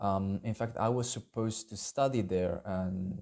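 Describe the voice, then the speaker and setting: Recorded very cleanly against a silent background, a man speaks fairly slowly in a fairly low pitch with a dark, mellow tone and ordinary pitch variation. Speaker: YouTuber, would-be language student. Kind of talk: personal video message. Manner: unscripted, halting with fillers.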